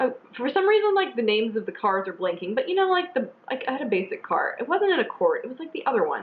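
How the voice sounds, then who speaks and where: Racing at a very fast pace with hardly any pauses, the voice makes very wide pitch swings over noticeable background noise. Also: woman, high pitch for a woman. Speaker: beauty vlogger. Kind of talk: casual chat.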